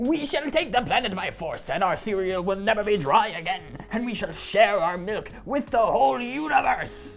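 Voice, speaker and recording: Someone uses a put-on character voice at a fairly high pitch and a moderate pace, with clear background noise. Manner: yelling, declaring.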